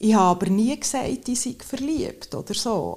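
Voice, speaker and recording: A woman talks at a fairly slow pace in a normal speaking voice, with ordinary pitch variation. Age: 50s. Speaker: accident prevention sports specialist. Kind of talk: casual interview. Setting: outdoors at sunset.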